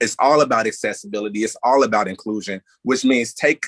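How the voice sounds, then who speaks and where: A man with an Indiana accent at a moderate pace. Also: dry, close sound with no echo. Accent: speaks like someone from Gary, Indiana. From US Midwest, Gary, Indiana. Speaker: panelist, activist media creator. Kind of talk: panel discussion. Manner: animated, casual.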